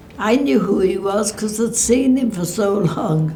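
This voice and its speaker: A woman at a fairly slow pace, with music in the background and audible room echo. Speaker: war veteran's wife. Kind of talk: testimony.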